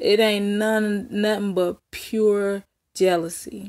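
A woman with an American accent speaks at a very slow pace and a medium pitch. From Texas, Dallas. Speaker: YouTuber. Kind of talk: casual vlog commentary. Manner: animated.

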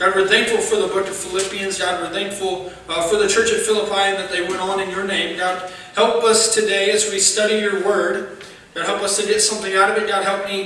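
A man uses a raised, projected voice with monotone, flat intonation at a fairly quick pace. Room echo is audible, along with light background noise. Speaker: preacher. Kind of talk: sermon. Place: church. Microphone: podium.

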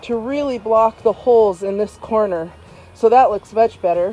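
The sound is dry with no echo as a woman speaks at a moderate pace. Her pitch variation is ordinary. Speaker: homeowner DIY vlogger. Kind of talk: casual vlog chat. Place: garden. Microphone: phone near.

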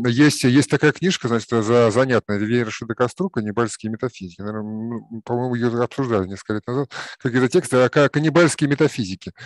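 A man at a fairly quick pace with ordinary pitch variation, in a dry sound with no echo and a quiet background. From Russia. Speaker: philosophy discussion participant. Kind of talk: group discussion. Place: home room. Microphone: video call.

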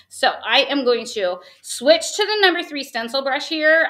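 Animated and raised, a woman projects her voice with an American accent. Her tone is bright and sharp, and her pitch is high. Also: quiet background. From West Virginia. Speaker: craft tutorial host. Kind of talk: live craft tutorial. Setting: live video stream. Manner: fast talker. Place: home room.

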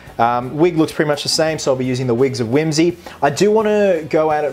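A man's voice at a moderate pace with ordinary pitch variation, faint music in the background. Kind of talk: casual vlog chat. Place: home room.

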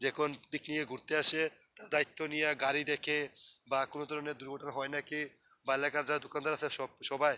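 This man's voice sits fairly high, with a bright, sharp tone and monotone, flat intonation. The sound is dry and close, with no echo. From Bangladesh, Sylhet. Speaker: vlogger. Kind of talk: casual vlog narration. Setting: outdoors.

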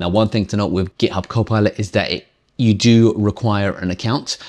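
This is an unremarkable speaking voice from a man at a moderate pace. The background is quiet. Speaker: tech reviewer. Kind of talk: tutorial. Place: home room.

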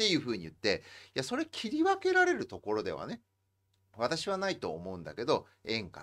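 At a fairly quick pace, a man speaks over a quiet background. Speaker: host interviewing a guest. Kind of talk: talk show commentary. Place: home room.

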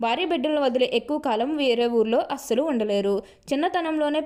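A high-pitched woman with ordinary pitch variation. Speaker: astrology video presenter. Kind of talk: horoscope monologue.

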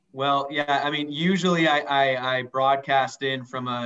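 A man at medium pitch, monotone and flat, at a fairly slow pace over a quiet background. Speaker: radio co-host, financial advisor. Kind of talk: interview. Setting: remote call from home. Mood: joking, light. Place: office. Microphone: video call.

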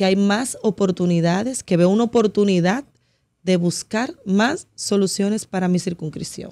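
A woman speaks at a moderate pace with a medium pitch and ordinary pitch variation. Her tone is dark and mellow, and the background is quiet. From Dominican Republic, Santo Domingo; Dominican Republic. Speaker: political candidate; candidate. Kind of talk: radio interview. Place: studio. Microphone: studio mic.

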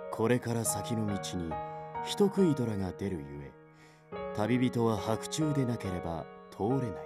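A medium-pitched man at a fairly slow pace, with long, frequent pauses, very wide pitch swings and music in the background. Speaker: voice actor. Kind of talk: audiobook literature reading.

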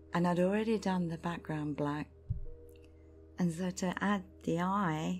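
A woman's calm tone at a fairly slow pace, with music in the background. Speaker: artist, ASMR creator. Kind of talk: ASMR storytelling, true spooky story told in a personal first-person style. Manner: soft, calm, intimate.

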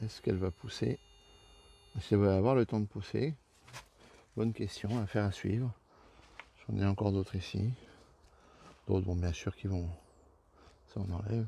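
A man with a dark, mellow, somewhat breathy tone and a fairly low pitch talks at a moderate pace with ordinary pitch variation and long, frequent pauses. The sound is dry with no echo, over light background noise. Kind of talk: casual garden tour vlog. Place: garden. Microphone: phone near.

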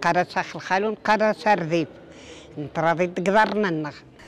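A woman's voice comes through dry with no echo over light background noise. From Algeria, Oum El Bouaghi (Aures region); Algeria. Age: 70s. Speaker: elderly woman keeping traditions. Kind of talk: interview. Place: street. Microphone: handheld.

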